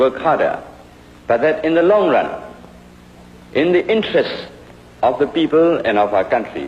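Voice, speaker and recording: The speaker is a man with a Burmese accent. Noticeable background noise can be heard. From Burma (Rangoon). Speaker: history professor. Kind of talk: university lecture.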